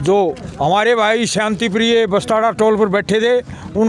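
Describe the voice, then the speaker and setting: Noticeable background noise sits under the recording. A man speaks at a high pitch. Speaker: farmer union leader. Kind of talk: protest statement to press.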